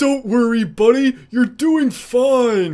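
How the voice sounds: His pace is very slow. The man uses a put-on character voice pitched extremely high.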